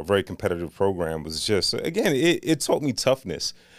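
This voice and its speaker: This is a man with an ordinary speaking voice, talking at a moderate pace. The recording is very clean, with a silent background. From Northeast Washington DC. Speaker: city government agency director. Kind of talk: interview conversation.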